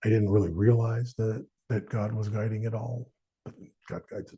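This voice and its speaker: A man's medium-pitched, somewhat breathy voice with a dark, mellow tone, monotone, flat intonation, big swings in loudness and a fairly quick pace. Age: 60s. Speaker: podcast host. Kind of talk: faith podcast monologue. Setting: studio. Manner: halting, with frequent repetitions.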